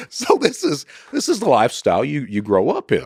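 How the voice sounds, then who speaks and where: A moderate pace in a dry, close sound with no echo. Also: man. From Eastern Kentucky, US. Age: 50s. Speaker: former cybercriminal. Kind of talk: podcast interview. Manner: casual, halting with repetitions.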